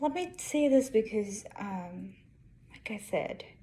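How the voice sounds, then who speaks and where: At a very slow pace, a woman with an Indian accent speaks in a dark, mellow, somewhat breathy voice at a fairly high pitch. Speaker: engineer and vlogger. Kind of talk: casual vlog monologue.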